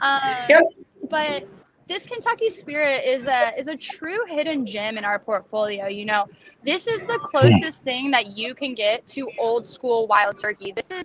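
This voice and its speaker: A woman speaks at a fairly slow pace in a high voice with very wide pitch swings, over noticeable background noise. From Nashville, Tennessee. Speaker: bourbon brand ambassador. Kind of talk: casual interview.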